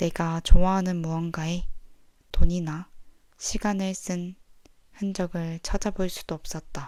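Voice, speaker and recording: A woman's calm, dark, mellow voice in a monotone, flat intonation, very slow with long, frequent pauses and big swings in loudness, on a very clean recording with a silent background. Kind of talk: sleep audiobook reading. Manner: soft-spoken, calm.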